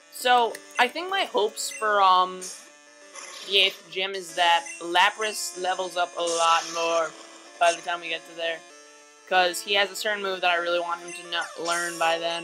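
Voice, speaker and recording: Speech at a fairly slow pace, with music in the background. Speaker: let's play gaming commentator. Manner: casual, chatty, frequent filler words.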